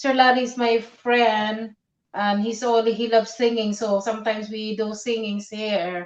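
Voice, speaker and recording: With a Filipino accent, a woman talks at a fairly slow pace in a fairly high pitch, her intonation monotone and flat. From Philippines. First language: Tagalog. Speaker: live streamer. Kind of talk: casual chat. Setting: live stream. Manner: halting.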